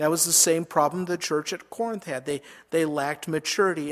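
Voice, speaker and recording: Here a man with an American accent speaks in an ordinary speaking voice, at a fairly high pitch with fairly even intonation. The recording is very clean, with a silent background. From Minnesota. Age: 50s. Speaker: pastor. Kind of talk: sermon. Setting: church.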